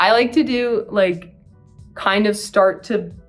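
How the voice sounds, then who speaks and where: A speaker with an American accent uses ordinary pitch variation while music plays in the background. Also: woman. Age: 20s. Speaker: university student. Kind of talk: casual talk to camera, beauty tutorial. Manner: chatty, filler-heavy.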